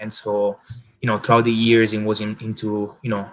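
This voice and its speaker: A man speaks in a fairly low pitch with an Italian accent. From Italy, village southeast of Rome. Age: 20s. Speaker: marketing agency founder, former pizza chef. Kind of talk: interview. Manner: halting, many fillers.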